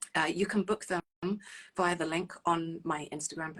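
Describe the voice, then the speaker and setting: Speaking in a London accent, the woman uses a fairly low pitch and a monotone, flat intonation. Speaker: relationship coach. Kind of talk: live stream talk to viewers. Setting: live stream. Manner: hesitant, many fillers.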